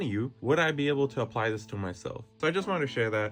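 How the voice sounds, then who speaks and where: Animated and somewhat breathy, a man of medium pitch speaks at a very fast pace. His pitch swings very widely. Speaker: self-help vlogger. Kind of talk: casual vlog monologue.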